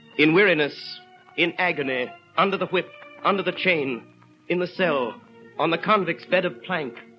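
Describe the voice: Faint music plays in the background. A man speaks over it at a fairly slow pace.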